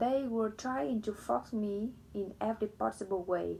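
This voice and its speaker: The speech is very slow. It carries a non-native accent. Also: woman. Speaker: book reader. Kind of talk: reading aloud; casual chat. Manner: halting.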